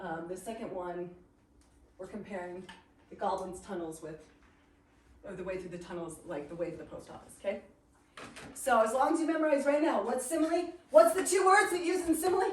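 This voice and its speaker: An animated woman speaks at a fairly quick pace and medium pitch with very wide pitch swings and big swings in loudness, leaving long, frequent pauses. Audible room echo and noticeable background noise surround her. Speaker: literature teacher. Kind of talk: lecture. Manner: fast.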